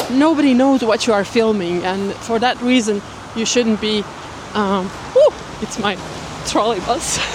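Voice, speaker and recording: With noticeable background noise, a woman talks at a fairly slow pace with long, frequent pauses, a fairly high pitch, and ordinary pitch variation. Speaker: vlogger. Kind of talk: vlog monologue.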